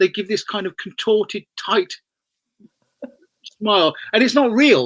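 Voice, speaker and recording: Here a man speaks at a high pitch with lively intonation. The sound is dry and close with no echo. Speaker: body language and presentation trainer. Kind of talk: interview. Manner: fast.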